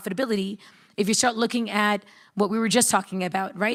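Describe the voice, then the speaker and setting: A woman with an American accent and an unremarkable speaking voice talks at medium pitch with fairly even intonation. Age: young. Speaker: startup founder. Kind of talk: panel discussion.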